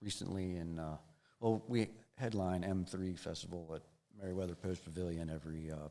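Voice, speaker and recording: Speaking fairly quickly with an American accent, a man has a very deep, low pitch, a dark, mellow tone and fairly even intonation. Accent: Maryland redneck. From Maryland. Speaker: rock guitarist. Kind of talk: interview. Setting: studio live stream. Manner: halting, many fillers and repeats.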